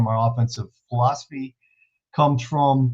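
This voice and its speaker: A man speaks at medium pitch and a moderate pace. His voice is somewhat breathy. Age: 60s. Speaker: football coach. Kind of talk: clinic presentation.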